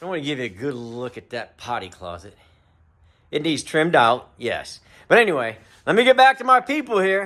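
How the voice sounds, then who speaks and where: On a very clean recording with a silent background, a man with a fairly high pitch and a bright, sharp tone speaks at a fairly quick pace, his pitch swinging very widely. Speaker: camper restoration video host. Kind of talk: casual workshop vlog narration. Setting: workshop during a livestream.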